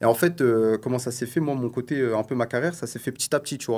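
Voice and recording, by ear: A man's slightly mellow voice at a fast pace.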